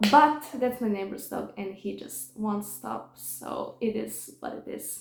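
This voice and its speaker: A woman with a Serbian accent speaks at a moderate pace, her pitch fairly high with ordinary variation. Noticeable background noise is present. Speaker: vlogger. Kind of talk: personal testimony. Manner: halting.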